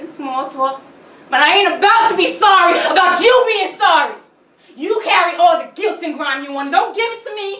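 A woman projects a raised voice with a bright, sharp tone and lively intonation. Her loudness swings widely, and room echo is audible. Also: moderate pace. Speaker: actor performing a monologue. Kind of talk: stage intro and dramatic monologue. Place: stage. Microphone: camera far.

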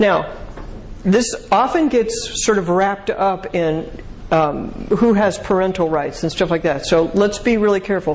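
Over light background noise, a woman talks at a fairly slow pace with very even loudness and ordinary pitch variation. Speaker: speaker answering audience questions on marriage; speaker. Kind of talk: lecture Q&A. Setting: stage with audience. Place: hall.

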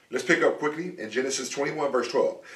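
The tone is animated. Audible room echo surrounds the voice. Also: man. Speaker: preacher. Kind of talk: sermon. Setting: church. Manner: conversational. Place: home room.

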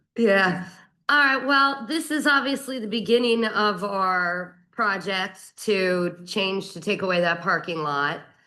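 A woman with a bright, sharp tone speaks at a medium pitch and a very slow pace, with lively intonation. Room echo is audible. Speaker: borough council member. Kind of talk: council meeting debate. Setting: council chambers. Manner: halting.

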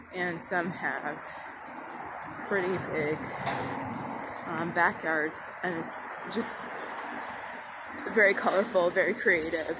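Amid loud background noise, the speech crawls at a very slow pace with long, frequent pauses. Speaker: walking tour vlogger. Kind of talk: casual vlog chat. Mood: admiring, relaxed. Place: street. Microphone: phone near.

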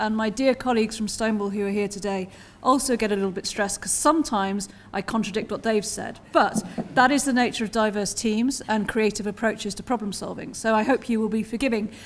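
Speaking at a very fast pace, a woman keeps her intonation fairly even. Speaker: conference keynote speaker. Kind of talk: keynote speech, spoken freely. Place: hall. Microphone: podium.

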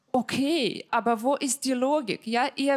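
In a Ukrainian accent, a woman speaks at a high pitch over a quiet background. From Ukraine. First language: Ukrainian or Russian (speaking German). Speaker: comedian. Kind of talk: stand-up. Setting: stage with audience. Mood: dry, playful humour. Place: stage. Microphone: handheld.

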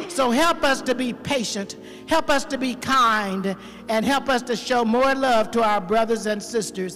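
Woman with ordinary pitch variation, faint music in the background. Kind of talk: spoken prayer. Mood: earnest, reverent. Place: church. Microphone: handheld.

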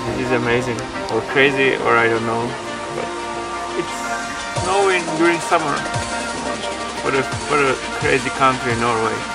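Loud music plays in the background as a man talks at a moderate pace. He leaves long, frequent pauses and shows ordinary pitch variation. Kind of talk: casual vlog chat. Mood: amused, amazed. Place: open country.

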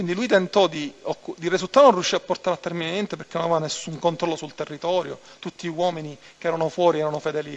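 A man's high-pitched voice, with ordinary pitch variation, goes at a very fast pace. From Palermo, Sicily; Sicily. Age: 30s. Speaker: mafia turncoat witness; witness. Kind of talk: court testimony. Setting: courtroom. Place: hall.

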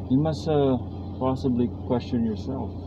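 A man speaks at a fairly slow pace in a dry sound with no echo. Noticeable background noise runs underneath. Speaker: driver vlogger. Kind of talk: casual vlog chat. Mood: calm reflective opinions. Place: car. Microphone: camera far.

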